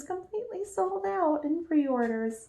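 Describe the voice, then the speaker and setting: A woman speaks at a very slow pace with a Southern US accent. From US South. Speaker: book youtuber. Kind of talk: casual chat.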